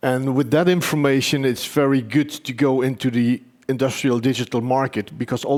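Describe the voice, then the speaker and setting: A man's normal speaking voice, medium in pitch, with fairly even intonation and a fairly quick pace. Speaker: company executive presenting his technology. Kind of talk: conference presentation.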